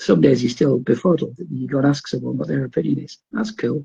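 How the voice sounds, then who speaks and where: This man speaks with a Geordie accent and a dark, mellow tone. Vocal fry runs through his voice. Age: 50s. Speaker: wrestling promoter. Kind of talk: casual chat.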